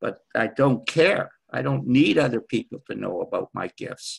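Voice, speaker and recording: With lively intonation and vocal fry, a man speaks in a dry, close recording with no echo. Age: 70s. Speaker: spiritual teacher. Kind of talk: group discussion. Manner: halting.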